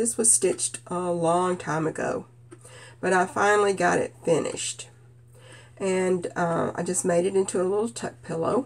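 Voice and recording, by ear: A woman speaks with a nasal quality at a fairly low pitch.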